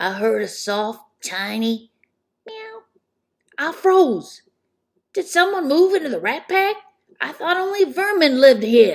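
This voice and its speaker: In a put-on character voice that sounds female, the speaker moves at a fairly slow pace with very wide pitch swings. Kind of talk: comedic spooky storytelling. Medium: read story. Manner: casual, chatty.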